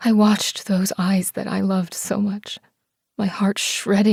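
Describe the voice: Over a quiet background, the clip is plain reading aloud.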